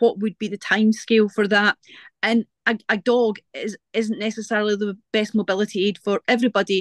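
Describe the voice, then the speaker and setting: Her fairly high-pitched voice stays monotone, the intonation flat. The woman is recorded with a dry, close sound, no echo, and a quiet background. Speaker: guide dog user, audience member. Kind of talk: audience question. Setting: video call webinar.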